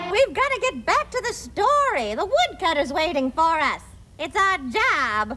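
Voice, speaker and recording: A woman performs a cartoonish character voice at a moderate pace, her extremely high pitch making very wide swings. Light background noise sits behind her. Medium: puppet show. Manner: upbeat, friendly.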